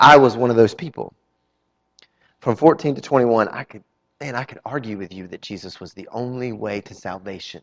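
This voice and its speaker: A man with a Southern US accent at a medium pitch, moderate pace, ordinary pitch variation and big swings in loudness. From North Carolina. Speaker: pastor. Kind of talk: sermon. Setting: church.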